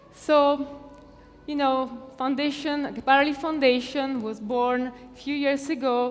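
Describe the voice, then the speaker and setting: The speaker talks at a fairly slow pace in an Italian accent, with monotone, flat intonation. Audible room echo surrounds the voice. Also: woman, high pitch for a woman. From Italy. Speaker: foundation president. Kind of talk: conference talk. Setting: stage with audience. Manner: halting.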